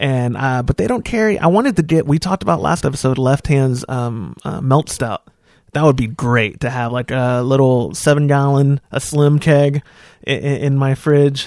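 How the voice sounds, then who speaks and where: This man has a plain, everyday voice with fairly high pitch and ordinary pitch variation. He talks at a moderate pace. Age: 20s. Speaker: podcast host. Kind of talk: casual chat.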